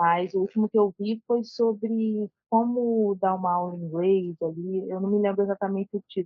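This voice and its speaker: With fairly level intonation and barely a pause, the talk goes along at a medium speed. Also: woman, medium pitch for a woman. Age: 20s. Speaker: jiu-jitsu brown belt student. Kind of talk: casual chat, asking questions. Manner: hesitant, many fillers.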